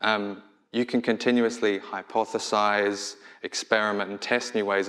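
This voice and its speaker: Against a quiet background, a man with an Australian accent speaks in a fairly low, monotone, flat voice. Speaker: product designer; conference speaker. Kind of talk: conference talk. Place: stage.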